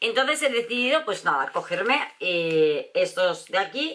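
An animated tone over light background noise. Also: woman. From Spain, Valencia. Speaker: beauty vlogger. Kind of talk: product review vlog. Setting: at home. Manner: chatty, animated. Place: home room. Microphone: camera far.

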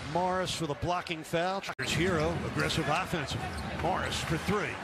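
Loud background noise surrounds the speech. The man's voice sounds dry, with no echo. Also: moderate pace. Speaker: play-by-play announcer. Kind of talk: commentary. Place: hall.

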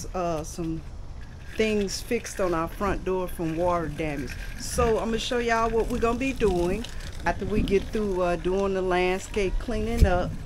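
A woman's voice with ordinary pitch variation amid noticeable background noise. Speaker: homeowner vlogger. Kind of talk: casual vlog chat. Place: street. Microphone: phone near.

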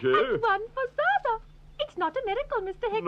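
A cartoonish character voice rattles along at a fairly quick pace amid clear background noise. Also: female-sounding voice, extremely high pitch for a woman. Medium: puppet show. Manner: polite, gently matter-of-fact.

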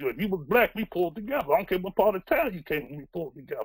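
Against a quiet background, a man speaks at a high pitch with lively intonation. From Baltimore, US. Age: 60s. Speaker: newspaper publisher and community activist. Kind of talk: personal testimony. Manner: earnest, conversational; halting, with fillers. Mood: earnest, reflective. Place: home room.

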